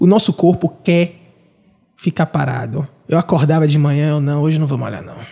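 A man speaks in a fairly high pitch with a dark, mellow tone, somewhat breathy and with ordinary pitch variation. Long, frequent pauses break up his speech, and the sound is dry and close with no echo. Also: moderate pace, big swings in loudness. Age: 30s. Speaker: podcast host. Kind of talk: casual interview.

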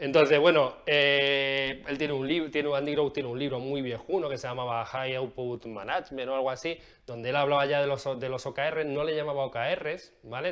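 With hardly any pauses, a man speaks at a fairly high pitch using fairly even intonation. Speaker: agile coach / video creator. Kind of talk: explanatory video talk. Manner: casual, with frequent fillers and repetitions; fast.

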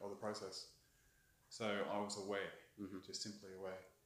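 A man with an Australian accent talks at a fairly quick pace, his fairly low pitch delivered in a monotone with flat intonation. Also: long, frequent pauses. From Australia (Brisbane), born in England. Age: 50s. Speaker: tattoo artist. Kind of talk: casual chat.

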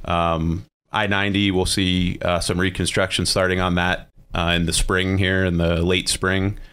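With an American accent, a man with a very deep, low voice and a bright, sharp tone speaks at a fairly slow pace in a monotone, flat delivery with very even loudness, captured in a very clean recording with a silent background. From western Pennsylvania. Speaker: transportation department official. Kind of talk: radio interview.

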